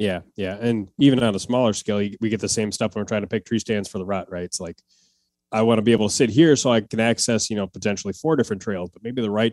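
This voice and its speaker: Dry and close with no echo, a man talks very fast with an American accent and ordinary pitch variation. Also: big swings in loudness, quiet background. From Wisconsin, US upper Midwest. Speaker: hunting content creator. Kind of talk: podcast interview.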